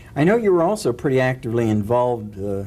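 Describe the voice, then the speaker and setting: This is a normal speaking voice with ordinary pitch variation, delivered at a fairly quick pace. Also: man. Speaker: interviewer. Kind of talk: interview questions.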